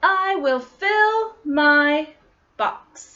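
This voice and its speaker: A woman performs a put-on character voice. It is extremely high-pitched with lively intonation. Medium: read story. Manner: bright, eager.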